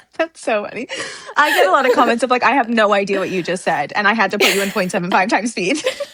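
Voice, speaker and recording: Through noticeable background noise, the speech comes very fast, with an animated tone and lively intonation. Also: woman, fairly high pitch for a woman. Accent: Canadian. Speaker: booktuber. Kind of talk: casual chat.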